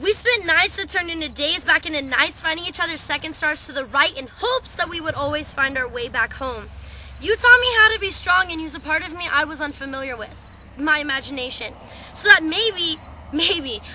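At a fairly quick pace, a woman uses a raised, projected voice at an extremely high pitch, with big swings in loudness, in a dry sound with no echo and noticeable background noise. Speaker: poet. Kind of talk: spoken word slam poetry performance. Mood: wistful, emotional. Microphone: webcam.

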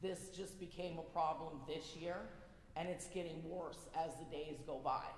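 A woman speaks at a fairly slow pace in a fairly low pitch, her intonation flat and monotone. The room echo is audible, and background noise is noticeable. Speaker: resident speaking at public meeting. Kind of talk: public comment at town council meeting. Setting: town council meeting room.

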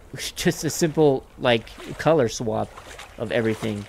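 A man's lively, moderately paced speech over noticeable background noise. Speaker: gaming YouTuber. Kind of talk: gameplay commentary. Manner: animated.

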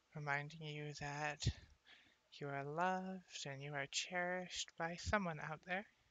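The delivery is fairly slow, with a dry sound and no echo. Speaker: asmr creator. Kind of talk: ASMR affirmations, soft-spoken personal attention. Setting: close-mic, lofi ASMR setup.

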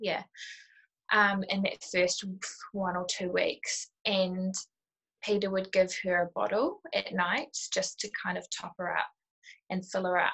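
A woman at a fairly slow pace, with long, frequent pauses, against a quiet background. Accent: New Zealand. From New Zealand, Auckland. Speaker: new mother sharing breastfeeding experience. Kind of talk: casual interview. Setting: video call from kitchen. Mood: candid, relaxed, reflective. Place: home room. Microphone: video call.

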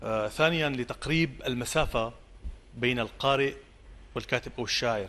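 A man talks at a fairly slow pace in a medium pitch. His tone is bright and sharp, with ordinary pitch variation. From Syria, coastal village. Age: 40s. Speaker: poet. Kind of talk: interview. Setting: outdoor theatre, live broadcast. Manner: halting. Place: studio.

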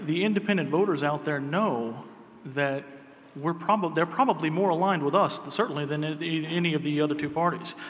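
This man has a plain, everyday voice, pitched fairly high, with ordinary pitch variation. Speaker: political party chair candidate; candidate. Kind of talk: debate speech. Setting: stage with audience. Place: hall. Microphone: podium.

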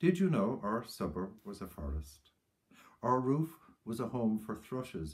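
A man talks with an Irish accent and a warm tone. The background is quiet. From Ireland. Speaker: poet. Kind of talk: tribute talk then poem reading aloud. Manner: measured, reflective, warm; lyrical, slow, hushed reading of the poem. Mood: warm, reflective remembrance. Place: home room. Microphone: webcam.

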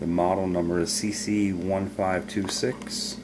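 Over noticeable background noise, a man talks very slowly. His intonation stays fairly even. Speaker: hobbyist demonstrator. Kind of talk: tutorial. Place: home room. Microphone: camera far.

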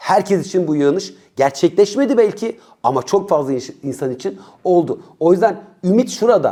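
A high male voice with a dark, mellow tone, lively intonation and a moderate pace. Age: 40s. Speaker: youth educator and commentator. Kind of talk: video monologue.

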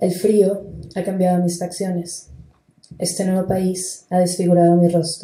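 Her dark, mellow tone is somewhat breathy, and this woman keeps a medium pitch, a moderate pace and a monotone, flat intonation. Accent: Spanish. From Venezuela. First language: Spanish. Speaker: theatre artist. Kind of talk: panel discussion. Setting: stage with audience.

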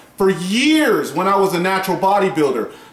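Audible room echo is present. Through it, a man is talking. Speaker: fitness blogger. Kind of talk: casual vlog advice. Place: home room. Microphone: camera far.

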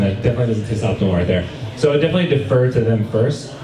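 A man talks fairly quickly, with ordinary pitch variation, while noticeable background noise runs behind him. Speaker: presenter. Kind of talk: lecture. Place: cafe.

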